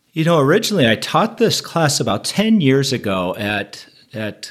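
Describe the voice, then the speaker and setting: Over a silent background in a very clean recording, a man speaks at a moderate pace. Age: 50s. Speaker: pastor. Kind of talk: casual chat.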